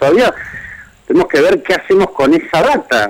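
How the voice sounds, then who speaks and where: With an unremarkable speaking voice, a man talks at a fairly quick pace with ordinary pitch variation, the sound dry and close with no echo. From Argentina, Greater Buenos Aires. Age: 40s. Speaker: writer. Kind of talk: radio interview.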